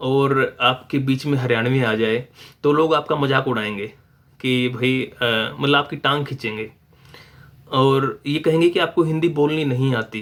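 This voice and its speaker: A man speaks at a medium pitch with a Haryanvi accent. His intonation stays fairly even. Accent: Haryanvi-accented Hindi. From Haryana, India. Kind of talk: casual talk to camera.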